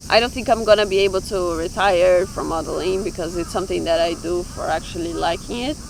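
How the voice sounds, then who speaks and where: Over noticeable background noise, a woman with a Brazilian accent talks at a very fast pace with hardly any pauses, her medium pitch showing ordinary variation. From Brazil, small village. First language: Portuguese. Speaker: fashion model. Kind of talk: street interview.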